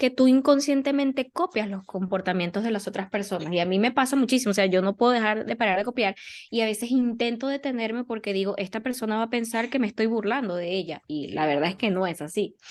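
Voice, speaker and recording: Lively intonation from a woman with a fairly high voice, at a fairly quick pace. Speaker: podcast co-host. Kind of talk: casual chat. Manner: robotic-sounding.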